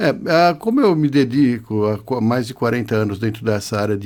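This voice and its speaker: A man speaks at a moderate pace with ordinary pitch variation. He has an ordinary speaking voice. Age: 60s. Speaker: biomedical scientist and physiologist. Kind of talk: podcast interview.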